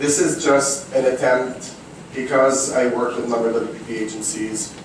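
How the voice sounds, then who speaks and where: A man with a non-native accent speaks over noticeable background noise, and audible room echo surrounds his voice. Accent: foreign. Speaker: digital marketing consultant. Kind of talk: talk to an audience. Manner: loud.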